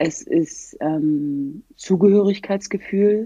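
The voice has a dark, mellow tone and ordinary pitch variation at a very slow pace. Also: woman. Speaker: former pro footballer and human rights activist. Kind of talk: casual chat.

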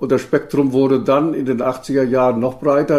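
A man's medium-pitched voice with a dark, mellow tone, at a fairly slow pace. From northern East Germany, Rostock area. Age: 80s+. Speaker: former East German minister and environmental activist. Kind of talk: interview. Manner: halting, many hesitations.

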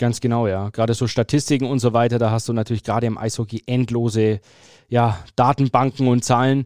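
A man speaks at medium pitch with monotone, flat intonation and a fairly quick pace. The recording is very clean with a silent background and a dry, close sound with no echo. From Franconia, Germany (Fürth). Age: 30s. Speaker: sports journalist and stadium announcer. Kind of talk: casual interview.

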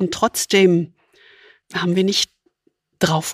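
A woman speaks at a fairly low pitch and a fairly slow pace with fairly even intonation. The sound is dry and close with no echo. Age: 60s. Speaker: podcast host, leadership coach. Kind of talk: conversational discussion.

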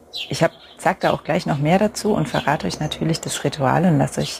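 Here a woman is talking. Noticeable background noise runs behind her. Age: 40s. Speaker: podcast host and coach for mothers. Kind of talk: solo podcast monologue with brief guided mindfulness.

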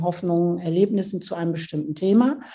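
This woman has a fairly low pitch and a dark, mellow tone. Her pitch varies in an ordinary way. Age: 60s. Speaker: author and family counselor. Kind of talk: interview.

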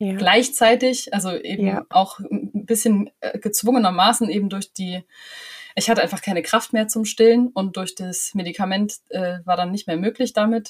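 Somewhat breathy, a woman speaks at a moderate pace with fairly even intonation. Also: medium pitch for a woman. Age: 30s. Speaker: trainee music teacher and cloth diaper advisor. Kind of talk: casual chat.

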